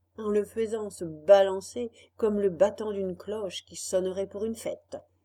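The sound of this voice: With fairly even intonation, the passage comes across in an unforced reading voice.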